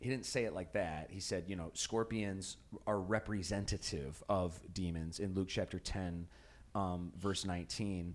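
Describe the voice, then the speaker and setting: With an American accent, a man speaks at a very deep, low pitch and a fairly slow pace in a very clean recording with a silent background. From US Midwest, Chicago. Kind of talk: Bible study discussion.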